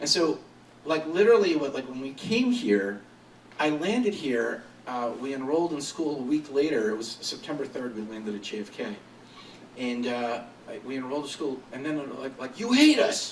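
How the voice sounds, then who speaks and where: A man's fairly high-pitched, animated voice with lively intonation and audible room echo. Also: moderate pace. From Syria (Aleppo), moved to US as child. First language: Arabic. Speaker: marketing agency founder, entrepreneur. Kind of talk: interview talk before audience. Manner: animated, casual with many fillers.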